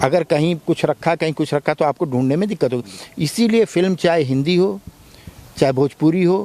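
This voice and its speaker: Dry, close sound with no echo, a man of fairly high pitch, dark, mellow tone and very even loudness. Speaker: film actor. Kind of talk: interview.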